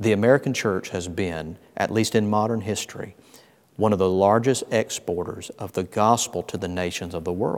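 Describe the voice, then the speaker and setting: A man with a Southern US accent speaks at a moderate pace in a fairly low pitch, keeping his intonation fairly even. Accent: Southern US (Georgia). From US South, Georgia. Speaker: pastor. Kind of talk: interview.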